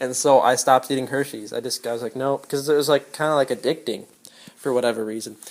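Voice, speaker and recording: This man talks at a very fast pace, his medium pitch held in fairly even intonation. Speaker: vlogger giving health advice. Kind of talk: casual monologue. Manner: halting, many fillers.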